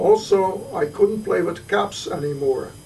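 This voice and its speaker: A man with a Dutch accent speaks at a fairly slow pace. Noticeable background noise runs behind him. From Netherlands, Arnhem. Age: 70s. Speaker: Holocaust survivor. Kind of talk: testimony. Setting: home visit. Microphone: poor quality recording.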